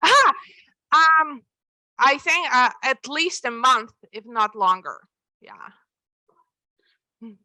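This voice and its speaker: Raised and projected, a woman's high-pitched voice with a Russian accent comes across in a bright, sharp tone with lively intonation, moving at a very slow pace with long, frequent pauses. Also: big swings in loudness. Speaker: author. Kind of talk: Q&A at book presentation. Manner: halting, many repetitions.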